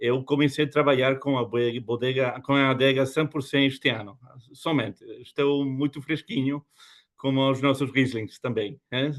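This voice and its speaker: Speaking in a European Portuguese accent, a man keeps a medium pitch, fairly even intonation and a fairly slow pace. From Spain and Germany. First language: Spanish or German (speaking Portuguese). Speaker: winery export representative. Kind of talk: wine masterclass presentation. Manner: halting.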